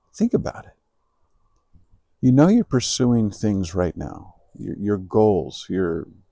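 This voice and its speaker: Slowish in pace, a man with a fairly low pitch and a dark, mellow tone talks with lively intonation. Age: 60s. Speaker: entrepreneur and personal growth YouTuber. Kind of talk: motivational talk to camera. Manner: halting, with frequent repetitions.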